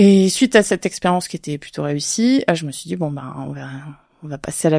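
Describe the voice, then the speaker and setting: A woman's very deep, low voice with a dark, mellow tone comes through in a very clean recording with a silent background and a dry, close sound with no echo. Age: 30s. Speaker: real estate investor. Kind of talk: interview. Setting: studio, filmed. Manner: hesitant, many fillers.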